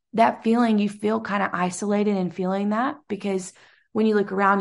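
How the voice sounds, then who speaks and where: A woman's normal speaking voice at a medium pitch, with fairly even intonation and a moderate pace over a quiet background. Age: 30s. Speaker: evangelist's wife and traveling minister. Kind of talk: casual chat.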